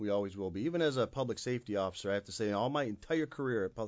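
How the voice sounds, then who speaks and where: This man speaks at a very fast pace with an Upper Midwest accent. His pitch varies in an ordinary way. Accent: Upper Midwest American. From Michigan, Kalamazoo. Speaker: university police chief. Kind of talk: interview. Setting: studio.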